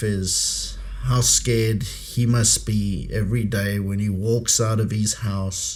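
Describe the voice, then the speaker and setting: In an American accent, a man speaks at a very slow pace with a fairly low pitch and ordinary pitch variation, and audible room echo surrounds him. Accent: South African with slight American twang. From South Africa, Pretoria. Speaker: podcast host, former intelligence operative. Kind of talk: podcast conversation. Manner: halting, many fillers.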